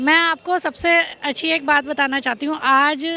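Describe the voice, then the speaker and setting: Over noticeable background noise, a woman uses a raised, projected voice at a high pitch. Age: 40s. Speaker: interviewee at street interview. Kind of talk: political vox-pop interview. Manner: animated.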